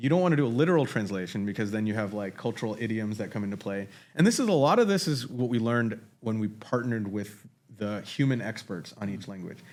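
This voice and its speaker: Speaking at a very fast pace, a man sounds animated, with a medium pitch and ordinary pitch variation. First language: Marathi. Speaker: AI technologist. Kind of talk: casual conversation. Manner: animated, with frequent restarts.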